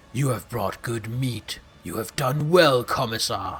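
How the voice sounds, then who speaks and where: A man uses a put-on character voice that is guttural and medium in pitch. He speaks at a fairly slow pace. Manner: menacing.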